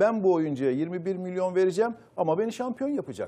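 The tone is dark and mellow, with lively intonation. The pace is moderate. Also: man. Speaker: football pundit. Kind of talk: panel discussion. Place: studio. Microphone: lapel.

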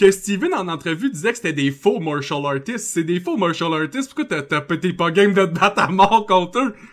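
Using lively intonation, a man with a high pitch speaks at a moderate pace with hardly any pauses. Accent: Quebec. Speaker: podcast host. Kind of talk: casual chat.

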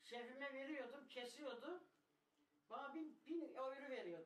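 A woman with a high pitch speaks at a fairly slow pace, with audible room echo. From Turkey. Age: 80s+. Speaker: former guest worker. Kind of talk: interview answer. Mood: reminiscing, emotional at times.

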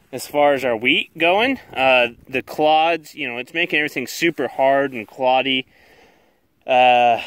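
Against a quiet background, a man speaks at a moderate pace with fairly even intonation, the sound dry with no echo. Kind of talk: casual vlog commentary. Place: open country. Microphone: phone near.

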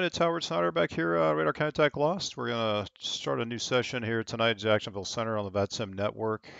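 In a dry recording with no echo and a quiet background, a man talks in a fairly low pitch with an unremarkable speaking voice. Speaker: online air traffic control hobbyist streamer. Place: home room. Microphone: headset.

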